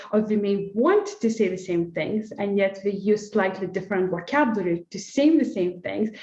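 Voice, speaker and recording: A woman with an Eastern European accent, talking at a moderate pace. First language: non-native English speaker. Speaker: sport psychologist. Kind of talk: webinar panel discussion.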